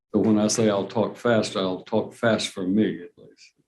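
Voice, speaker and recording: Speaking with a Southern US accent, a man talks at a fairly low pitch in a monotone, flat intonation at a moderate pace. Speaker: judge. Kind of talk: courtroom proceedings. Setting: courtroom.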